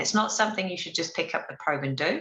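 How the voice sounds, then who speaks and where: A woman speaks in a bright, sharp tone. Her pitch swings very widely. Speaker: obstetrician presenting a webinar. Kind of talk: lecture. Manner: fast.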